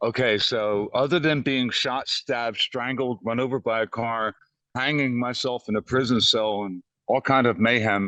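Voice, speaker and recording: A man's medium-pitched voice, bright and sharp in tone, at a moderate pace. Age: 60s. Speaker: exonerated death row inmate. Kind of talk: interview testimony. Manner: animated.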